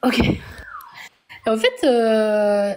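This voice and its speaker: A woman speaks with a fairly high pitch. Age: 40s. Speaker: viewer asking a question. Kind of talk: casual chat. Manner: halting.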